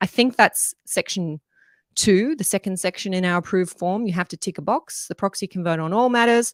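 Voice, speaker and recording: With an Australian accent, a woman speaks at a medium pitch, the sound dry and close with no echo. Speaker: strata lawyer and livestream host. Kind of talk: live Q&A stream explaining law. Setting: live online broadcast. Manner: conversational with frequent fillers.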